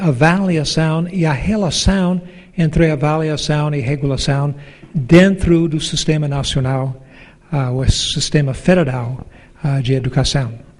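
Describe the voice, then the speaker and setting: A man at a fairly high pitch with ordinary pitch variation, very slow pace, and audible room echo. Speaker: professor and education council president. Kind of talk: conference talk.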